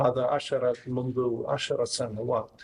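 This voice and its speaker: A man speaks with a slight Maghrebi accent. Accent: non-native Arabic with slight Maghrebi. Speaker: academic researcher. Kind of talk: academic talk.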